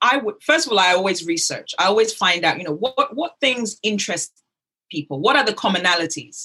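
A woman with a British accent speaks at a fairly quick pace and fairly high pitch, her bright, sharp tone moving in very wide pitch swings. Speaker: business development and networking expert. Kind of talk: interview.

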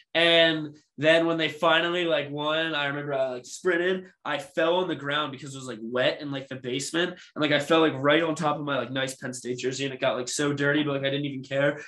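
Here is a man with a normal speaking voice and a fairly high pitch. He talks at a fairly quick pace with hardly any pauses and fairly even intonation. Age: 20s. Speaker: sports podcast co-host. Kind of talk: casual chat.

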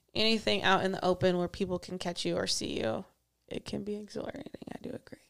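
A woman at medium pitch speaking at a very fast pace. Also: lively intonation. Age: 20s. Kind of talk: casual chat. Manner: energetic.

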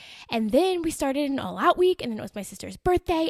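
Dry and close with no echo, a woman talks very fast with an animated tone and lively intonation. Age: 20s. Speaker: podcast host, motivational speaker for women. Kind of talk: motivational solo podcast monologue.

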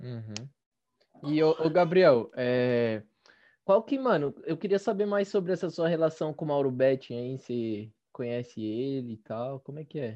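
A man with an unremarkable speaking voice talks at a fairly high pitch. His pace is fairly slow and his intonation lively. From East Zone of São Paulo, Brazil. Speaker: podcast host. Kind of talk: casual chat.

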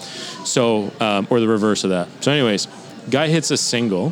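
This voice uses ordinary pitch variation, with noticeable background noise present throughout. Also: man. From Ottawa, Canada. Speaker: former professional baseball player. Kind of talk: casual interview chat.

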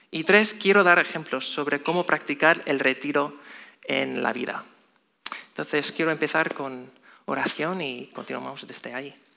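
A man with an American accent, fairly high in pitch, with a bright, sharp tone, vocal fry, ordinary pitch variation and a fairly slow pace. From US, Chicago. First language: English (speaking Spanish). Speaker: lay preacher. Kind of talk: sermon. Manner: halting.

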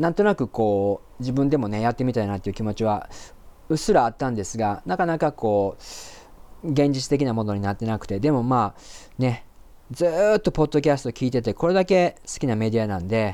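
Lively intonation and a fairly quick pace mark this man's speech. His voice has a medium pitch and a dark, mellow tone. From Japan (Osaka area). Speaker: podcast host, interpreter and translator. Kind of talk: solo podcast monologue. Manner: hesitant, many fillers.

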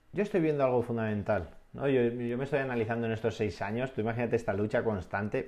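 A man's dark, mellow voice, medium in pitch with ordinary pitch variation. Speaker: adventurer and dream-project entrepreneur. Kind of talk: interview.

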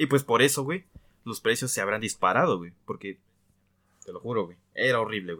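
With a bright, sharp tone and lively intonation, a man rattles along at a very fast pace. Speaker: podcast co-host. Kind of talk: casual chat. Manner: casual, slangy.

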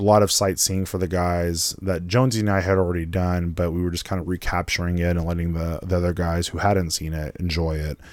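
Very clean and silent in the background, the recording carries a man's very deep, low voice with fairly even intonation. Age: 30s. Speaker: podcast host. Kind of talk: casual solo podcast talk. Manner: casual, many fillers.

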